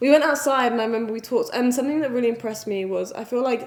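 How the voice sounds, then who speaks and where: A woman with an English accent over noticeable background noise. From England. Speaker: vlogger. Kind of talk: casual chat.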